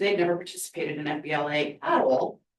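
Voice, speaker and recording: The pitch varies in an ordinary way as a woman speaks at a fairly quick pace. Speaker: school career and technical education administrator. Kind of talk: presentation to school board. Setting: school board meeting. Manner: fast.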